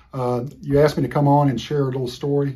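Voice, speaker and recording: A man with an American accent, medium pitch, a dark, mellow, somewhat breathy tone, ordinary pitch variation and a fairly quick pace. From Florida. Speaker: former college football player. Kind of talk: recorded anecdote.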